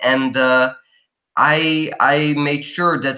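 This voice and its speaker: A man speaks in a fairly high voice. His tone is bright and sharp. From Belgium. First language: not English. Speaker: college student. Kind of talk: interview. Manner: halting.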